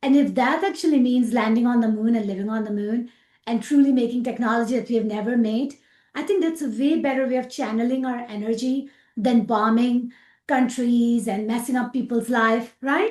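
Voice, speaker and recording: A woman's high-pitched voice in a Pakistani accent, fairly quick, with ordinary pitch variation. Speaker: aerospace engineer. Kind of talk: interview.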